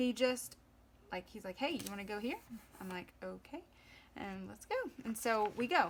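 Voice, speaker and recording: A woman with a Southern US accent and fairly high pitch speaks at a moderate pace with ordinary pitch variation, big swings in loudness and long, frequent pauses. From US South. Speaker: planner vlogger. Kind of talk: tutorial. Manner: casual.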